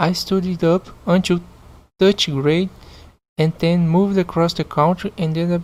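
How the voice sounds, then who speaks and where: Recorded very cleanly against a silent background, a woman with a Portuguese accent speaks at a moderate pace in a fairly low voice with fairly even intonation. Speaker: podcast host reading online stories. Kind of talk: reading aloud with commentary. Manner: halting, repeats words.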